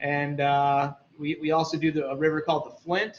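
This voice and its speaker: An unremarkable speaking voice, a man's, fairly high in pitch at a moderate pace. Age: 30s. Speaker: fishing shop owner and guide. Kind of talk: casual interview.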